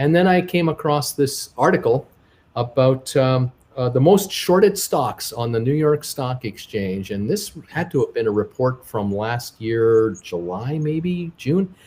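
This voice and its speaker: A somewhat breathy man of medium pitch speaks at a fairly slow pace, with very wide pitch swings. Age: 60s. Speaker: stock market YouTuber and travel vlogger. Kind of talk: interview. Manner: halting.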